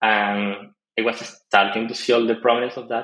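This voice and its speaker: A man with a Spanish accent speaks at a moderate pace in a monotone, flat voice. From Argentina. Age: 20s. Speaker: web developer. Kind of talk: casual interview.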